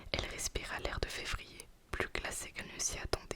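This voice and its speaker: Noticeable noise runs behind a woman who is whispering at a moderate speed. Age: young. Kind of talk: ASMR book reading. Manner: whispered.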